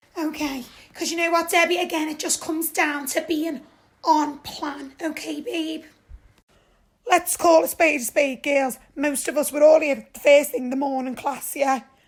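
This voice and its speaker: A woman puts on a character voice that is high and sing-song. She moves at a moderate pace. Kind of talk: comic overacting. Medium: comedy sketch. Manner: sing-song, falsely sympathetic, calls everyone darling.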